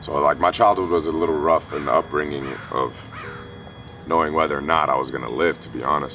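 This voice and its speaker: Noticeable background noise runs under a man speaking very fast. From Kuwait, Armenian family, moved to US at 8-9. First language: Armenian. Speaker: esports player. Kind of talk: personal testimony interview. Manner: casual, many fillers.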